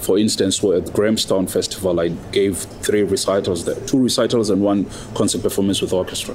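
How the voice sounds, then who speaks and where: Amid noticeable background noise, a man speaks at a fairly quick pace and fairly low pitch with fairly even intonation. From South Africa. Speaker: opera singer. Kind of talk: interview.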